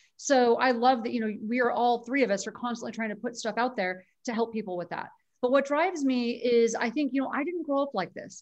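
A woman speaks at a very fast pace in a high pitch, with ordinary pitch variation. Her tone is enthusiastic against a quiet background. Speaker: author and health influencer. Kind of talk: casual interview. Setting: remote call.

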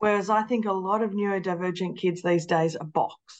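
Delivery moves at a moderate pace with fairly even intonation. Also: woman, medium pitch for a woman.

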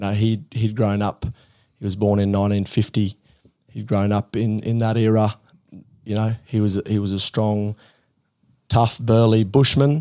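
This man has a fairly low pitch and a dark, mellow tone, speaking at a moderate pace with fairly even intonation. He takes long, frequent pauses in a very clean recording with a silent background. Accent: Australian. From outback Queensland, Australia. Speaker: tech startup founder. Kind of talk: interview.

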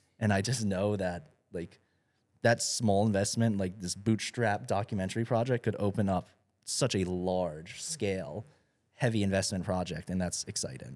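A plain, everyday voice with ordinary pitch variation. It moves at a moderate pace on a very clean recording with a silent background. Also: man, fairly low pitch for a man. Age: 20s. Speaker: content creator. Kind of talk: casual chat.

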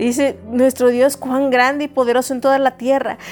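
Through noticeable background noise, a woman with a high pitch talks at a fairly quick pace. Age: 40s. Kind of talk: devotional talk. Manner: conversational.

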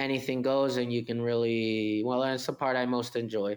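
In a very clean recording with a silent background, a man with a Spanish accent speaks in a flat monotone at medium pitch and a moderate pace. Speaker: winery manager. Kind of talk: interview.

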